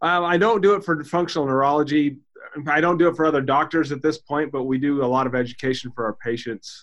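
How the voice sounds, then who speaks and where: A man with an American accent talks at a fairly quick pace in an unremarkable speaking voice. His pitch varies in an ordinary way. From Utah, near Salt Lake City. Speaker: chiropractor. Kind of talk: interview.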